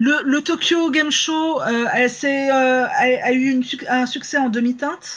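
A fairly bright tone, fairly even intonation and a fairly slow pace

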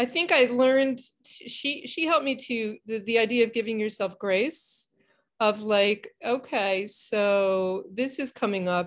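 Her pitch is fairly high, with ordinary variation, as a woman speaks at a fairly slow pace. The recording is very clean, with a silent background. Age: 60s. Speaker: mental health counselor. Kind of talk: interview. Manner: halting.

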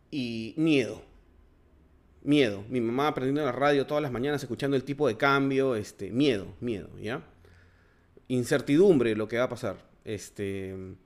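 In a very clean recording with a silent background, a man of medium pitch speaks at a moderate pace with ordinary pitch variation and long, frequent pauses. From Peru. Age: 40s. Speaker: political commentary podcaster. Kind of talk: solo monologue commentary. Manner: halting, many fillers.

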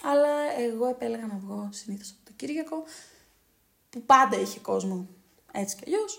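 The speaker uses lively intonation at a moderate pace, with big swings in loudness and long, frequent pauses. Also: woman. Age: 20s. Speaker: podcast co-host. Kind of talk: casual chat.

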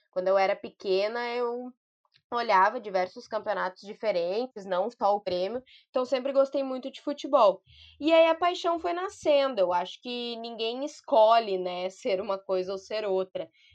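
A woman with an ordinary speaking voice, fairly high pitch, lively intonation and a moderate pace, over a quiet background. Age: 20s. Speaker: journalist and political communications adviser. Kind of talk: podcast interview.

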